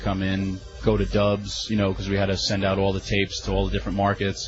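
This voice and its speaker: Music can be heard behind the speaker. A man talks at a fairly quick pace. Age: 30s. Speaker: former wrestling company staffer. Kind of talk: interview. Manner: halting.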